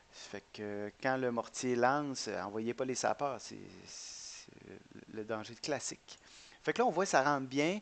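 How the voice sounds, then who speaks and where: A man's medium-pitched voice at a very slow pace, with big swings in loudness. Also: ordinary pitch variation. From Quebec. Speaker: gaming YouTuber. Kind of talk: gameplay commentary. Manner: hesitant, many fillers and repetitions.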